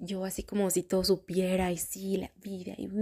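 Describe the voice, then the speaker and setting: The woman's voice has a dark, mellow tone. It is somewhat breathy. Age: 30s. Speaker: podcast host. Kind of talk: personal reflective monologue. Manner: casual, filler-heavy.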